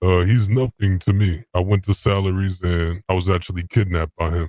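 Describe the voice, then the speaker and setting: A man's put-on character voice, very deep and low, at a fairly quick pace. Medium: machinima. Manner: plain, brief.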